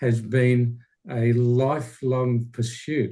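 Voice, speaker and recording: A somewhat breathy male voice at medium pitch, with an Australian accent. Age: 60s. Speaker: speaker, retired teacher. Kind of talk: Q&A answer. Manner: halting.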